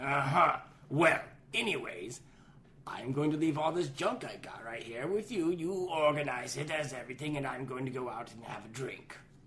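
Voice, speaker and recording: The speaker uses a put-on character voice at a low-to-middle pitch. The pace is moderate, with clear background noise. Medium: audio drama. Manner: careless, gruff.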